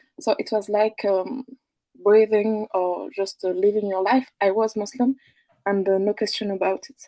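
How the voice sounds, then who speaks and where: A woman with a French accent speaks at a medium pitch and a moderate pace, her tone dark and mellow, her intonation fairly even, with big swings in loudness and a dry, close sound with no echo. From France. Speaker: caller. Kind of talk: testimony. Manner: halting. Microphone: too quiet.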